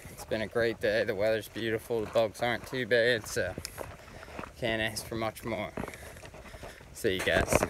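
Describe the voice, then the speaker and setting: A man speaks in a monotone, flat intonation. The sound is dry with no echo, but there is noticeable background noise. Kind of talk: casual vlog chat. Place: forest. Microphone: phone near.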